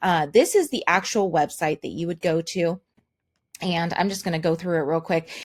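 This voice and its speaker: A woman speaks at a moderate pace with fairly even intonation in a very clean recording with a silent background. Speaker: online marketer. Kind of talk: product demo.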